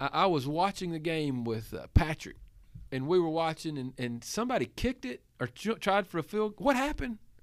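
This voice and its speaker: A man speaks with a Southern US accent, his pitch swinging very widely. The recording is very clean, with a silent background. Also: fairly high pitch for a man, fairly quick pace. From Tennessee. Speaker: pastor. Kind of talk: casual chat.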